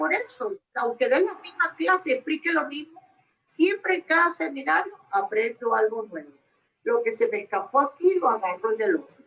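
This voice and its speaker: A woman's high-pitched voice with a bright, sharp tone, very wide pitch swings and a moderate pace. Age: 70s. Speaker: dog groomer. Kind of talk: casual chat.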